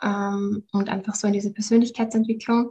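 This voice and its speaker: At a moderate pace, a woman with a fairly high pitch speaks in a dark, mellow tone, somewhat breathy, with monotone, flat intonation. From Austria, Vienna. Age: 30s. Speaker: happiness coach. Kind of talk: podcast interview.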